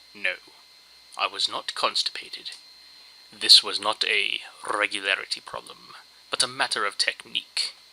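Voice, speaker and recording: A man talks at a moderate pace while noticeable background noise sits behind him. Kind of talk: dramatic reading of a humorous internet story. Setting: low-quality home microphone.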